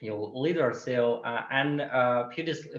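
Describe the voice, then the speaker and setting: A man at a fairly slow pace and medium pitch. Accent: Russian. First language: Russian. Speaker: LGBTQ activist. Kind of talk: webinar Q&A answer. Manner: halting, many fillers.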